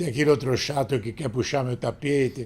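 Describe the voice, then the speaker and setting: A somewhat breathy male voice at medium pitch with ordinary pitch variation. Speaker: sports journalist, radio broadcaster. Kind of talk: interview answer.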